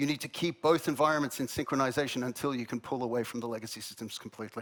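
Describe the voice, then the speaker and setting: A very fast delivery in an Australian accent. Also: man. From Australia, Melbourne. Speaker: head of product at a software company. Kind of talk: conference presentation.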